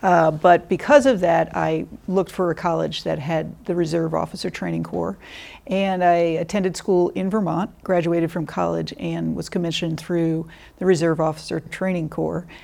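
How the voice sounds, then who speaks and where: A woman at a moderate pace in a very clean recording with a silent background. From Connecticut. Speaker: senior government contracting director. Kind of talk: interview.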